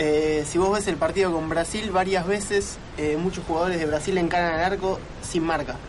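The voice moves at a moderate pace with fairly even intonation, and the recording has audible room echo and noticeable background noise. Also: man. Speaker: football commentator. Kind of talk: casual radio chat. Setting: studio.

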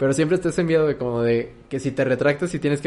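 This man has a plain, everyday voice and fairly even intonation. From Mexico. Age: 20s. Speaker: podcast host. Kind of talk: casual chat.

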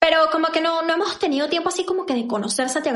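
A woman at a very fast pace, with audible room echo. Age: 20s. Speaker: podcast co-host. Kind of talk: casual chat.

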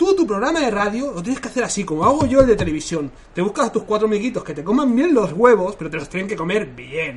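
A man's high voice with very wide pitch swings, a very fast pace and hardly any pauses, over noticeable background noise. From Catalonia. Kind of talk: casual chat.

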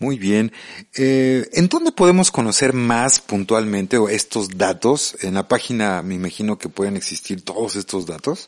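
With lively intonation and a fairly slow pace, the speaker has an unremarkable speaking voice. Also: man, medium pitch for a man. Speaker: radio host. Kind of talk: radio interview. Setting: radio studio. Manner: casual, friendly.

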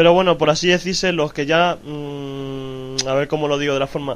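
Fairly high in pitch, a man talks with fairly even intonation. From Madrid, Spain. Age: 20s. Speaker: YouTuber. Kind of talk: casual chat.

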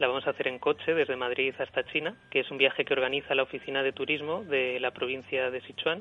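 A man speaks at a very fast pace with hardly any pauses. His intonation is fairly even. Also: medium pitch for a man. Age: 30s. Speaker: unemployed journalist. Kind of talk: radio interview testimony. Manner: hesitant, with fillers and repetitions.

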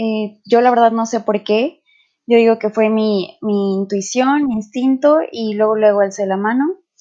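A woman speaks at a fairly slow pace with a fairly high pitch. Her tone is dark and mellow, with ordinary pitch variation. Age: 20s. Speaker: podcast co-host, student. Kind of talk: casual chat. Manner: hesitant, with fillers.

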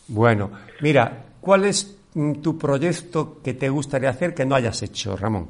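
Speaking very slowly, a man with a fairly high pitch sounds somewhat breathy. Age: 60s. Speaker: radio host and actor. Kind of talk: radio interview. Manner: halting.

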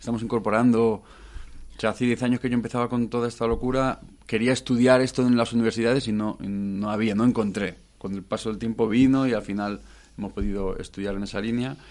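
Over a quiet background, a man talks at a very fast pace. His medium pitch stays monotone and flat. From Madrid, Spain. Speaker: musician and producer. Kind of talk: radio interview.

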